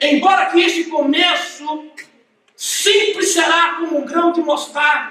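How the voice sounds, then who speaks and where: The voice is raised and projected, moving at a very slow pace with ordinary pitch variation. Audible room echo surrounds it. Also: man. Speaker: pastor. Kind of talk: sermon.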